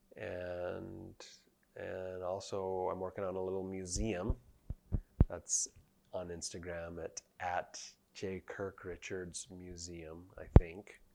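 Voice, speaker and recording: Very deep and low, a man's dark, mellow voice moves at a very slow pace in a flat monotone, with a Utah accent. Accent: American, Utah. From Utah (Provo). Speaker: painter and sculptor. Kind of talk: casual chat.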